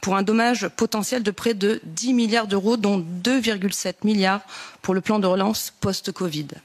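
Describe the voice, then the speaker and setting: Using an ordinary speaking voice, a woman keeps a moderate pace and fairly even intonation at a medium pitch. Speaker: politician. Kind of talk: committee hearing questions.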